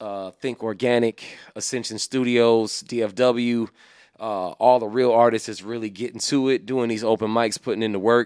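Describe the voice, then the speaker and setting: A man's normal speaking voice at medium pitch and moderate pace, fairly even in intonation, on a very clean recording with a silent background and a dry, close sound with no echo. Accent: American. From Illinois. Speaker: hip hop artist. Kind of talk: casual interview chat.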